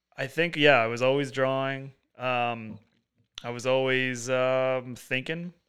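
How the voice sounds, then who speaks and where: A man with an American accent speaks at a fairly slow pace. His intonation is monotone and flat. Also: medium pitch for a man. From US Northeast, Long Island (East Hampton). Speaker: artist. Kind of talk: casual chat.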